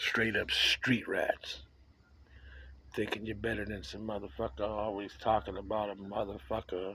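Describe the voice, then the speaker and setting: This man's tone is bright and sharp, with vocal fry. His pitch varies in an ordinary way. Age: 60s. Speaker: vlogger. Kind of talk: casual monologue. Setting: outdoors on a porch.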